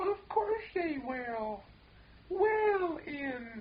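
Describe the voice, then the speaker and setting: This is a put-on character voice, squeaky and extremely high in pitch. It makes very wide pitch swings. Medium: audio drama. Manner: rambling, easily offended.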